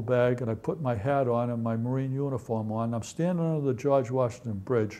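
With a Boston accent, a man speaks at a fairly quick pace, his medium-pitched voice dark and mellow in tone. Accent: Boston-area New England. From East Natick, Massachusetts. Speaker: Marine Corps veteran. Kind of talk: oral history interview answer. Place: home room. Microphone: lapel.

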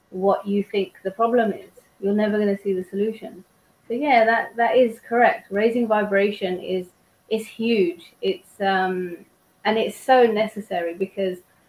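A woman is speaking at a moderate pace. Her pitch variation is ordinary. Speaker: guest. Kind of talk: interview answer. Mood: calm, encouraging. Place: home room. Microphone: video call.

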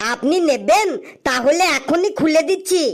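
An extremely high-pitched, cartoonish character voice. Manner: cheerful, glib.

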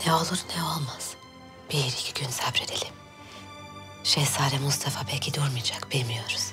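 Clear music plays in the background while the speech moves at a fairly slow pace. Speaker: actor playing a sultana. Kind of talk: scripted drama dialogue. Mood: relieved, then stern and vengeful. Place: hall.

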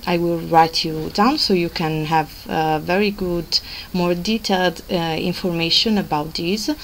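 Over light background noise, an unremarkable speaking voice moves at a fairly slow pace with fairly even intonation. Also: woman. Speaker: travel blogger. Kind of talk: casual vlog chat.

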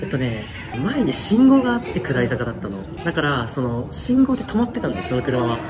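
A man speaks at a fairly quick pace, with noticeable background noise around him. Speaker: road cyclist. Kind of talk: interview answer. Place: home room.

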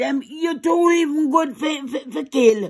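A woman with a Jamaican accent at a very slow pace, against a quiet background. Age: old. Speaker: grandmother. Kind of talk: reaction to video. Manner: angry, agitated. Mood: outraged, indignant. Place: home room.

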